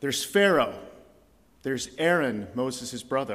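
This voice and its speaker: There is audible room echo as a man talks at a moderate pace in a medium pitch with lively intonation. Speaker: visiting preacher. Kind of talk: sermon. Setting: church.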